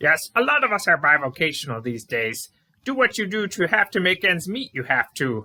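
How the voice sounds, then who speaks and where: Putting on a character voice, a man speaks high for his sex at a moderate pace, his pitch swinging very widely. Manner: grand, theatrical, backwards syntax.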